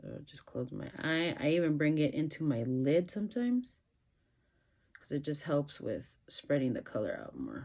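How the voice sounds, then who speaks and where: A woman speaks in a very deep, low voice with vocal fry, lively intonation and big swings in loudness. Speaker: beauty vlogger. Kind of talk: makeup tutorial chat. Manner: slow, calm.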